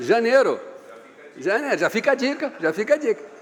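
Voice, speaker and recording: Noticeable background noise sits behind a man talking in an animated tone. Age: 60s. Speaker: business consultant and speaker. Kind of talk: seminar talk. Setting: seminar room with live audience.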